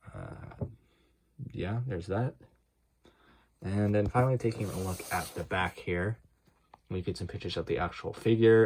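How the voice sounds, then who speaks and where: Speech at a moderate pace, pitch varying in an ordinary way. There is a somewhat breathy quality to the voice. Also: man. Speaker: toy unboxing youtuber. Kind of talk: unboxing tutorial. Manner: unenthusiastic, low-energy; hesitant, many fillers.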